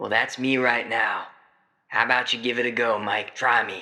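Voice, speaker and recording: Using a put-on character voice, a man speaks raspy at medium pitch and a moderate pace. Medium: actual play. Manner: laid-back, folksy.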